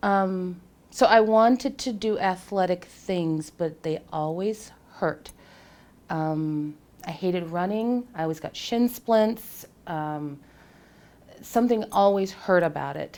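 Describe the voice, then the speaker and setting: Very slowly, a woman talks at a medium pitch. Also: ordinary pitch variation. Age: 40s. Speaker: fitness client. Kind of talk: testimony. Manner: hesitant, many fillers.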